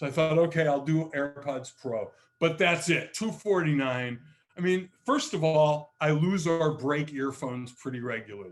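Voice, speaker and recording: With an ordinary speaking voice, a man speaks at a fairly high pitch, with ordinary pitch variation and a moderate pace. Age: 60s. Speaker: tech author and featured speaker. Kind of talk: presentation to user group. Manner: casual, with many repeated words.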